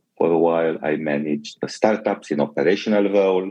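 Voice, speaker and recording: A man talks at a moderate pace in a very deep, low voice with a dark, mellow tone and ordinary pitch variation. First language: Romanian. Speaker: tech company executive. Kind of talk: interview.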